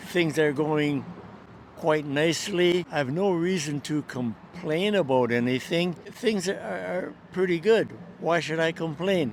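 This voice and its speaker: A man's fairly high voice at a fairly slow pace, ordinary pitch variation, over noticeable background noise. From Canada. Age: 90s. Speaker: elderly interviewee. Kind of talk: interview.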